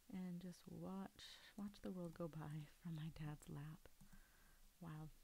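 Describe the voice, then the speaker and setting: The speaker is soft-spoken, with a dry sound with no echo and light background noise. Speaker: ASMR creator. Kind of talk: ASMR soft-spoken talk while doing a puzzle. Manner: soft-spoken, quiet. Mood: calm, relaxed, soft-spoken. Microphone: studio mic.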